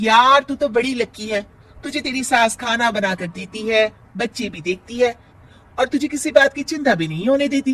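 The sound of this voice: An extremely high-pitched put-on character voice from a man, with lively intonation and a fairly bright tone. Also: moderate pace.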